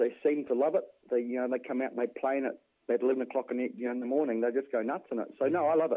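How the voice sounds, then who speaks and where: At a very fast pace, a man talks at medium pitch with fairly even intonation. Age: 40s. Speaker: ammunition reloader and hunter. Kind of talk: casual interview. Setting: phone call.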